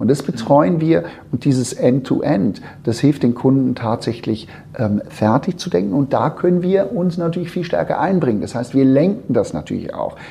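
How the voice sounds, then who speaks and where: The speaker is a man with fairly high pitch. His pitch swings very widely. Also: moderate pace. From Switzerland. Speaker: founder of an innovation consultancy. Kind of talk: interview. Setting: in person at his company office. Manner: halting, many fillers and repetitions.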